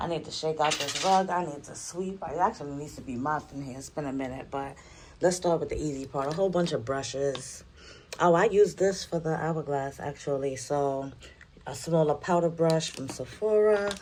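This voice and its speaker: A woman's very deep, low voice with a New York accent, moderate pace, ordinary pitch variation and big swings in loudness. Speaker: beauty YouTuber. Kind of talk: casual makeup collection talk.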